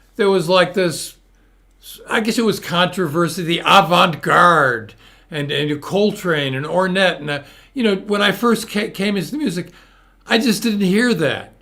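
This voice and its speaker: At a moderate pace, a man with a Northeastern US accent and a high pitch speaks in a raised, projected voice with ordinary pitch variation. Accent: American Northeast. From US Northeast, Hartford Connecticut. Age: 70s. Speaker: interview show host. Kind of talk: casual interview chat. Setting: live video stream.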